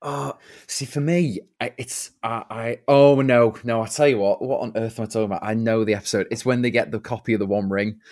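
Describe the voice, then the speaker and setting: A man with a normal speaking voice talks at a fairly quick pace with hardly any pauses. His pitch is medium, with ordinary pitch variation. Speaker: actor and impressionist. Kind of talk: casual chat.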